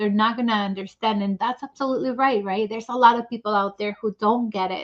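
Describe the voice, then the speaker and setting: A very fast pace with fairly even intonation. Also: woman, fairly high pitch for a woman. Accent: non-native. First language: not English. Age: 40s. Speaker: author. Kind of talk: testimony.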